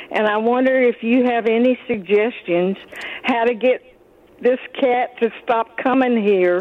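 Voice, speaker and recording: With an American accent, a woman speaks at a fairly slow pace and fairly high pitch, her intonation fairly even and her loudness very even, over noticeable background noise. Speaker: caller. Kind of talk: call-in question. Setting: phone call.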